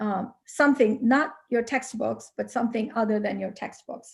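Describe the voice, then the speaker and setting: A woman's high-pitched voice with a dark, mellow tone, ordinary pitch variation, a moderate pace and a Pakistani accent. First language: Urdu. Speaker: HR consultant. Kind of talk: motivational talk to students.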